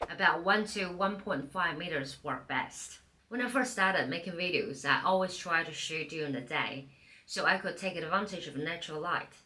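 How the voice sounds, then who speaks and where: With a non-native accent, a woman speaks at a fairly low pitch and moderate pace with ordinary pitch variation, amid audible room echo and noticeable background noise. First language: not English. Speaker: part-time YouTuber. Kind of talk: tutorial, reading from a teleprompter. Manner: scripted, read from teleprompter.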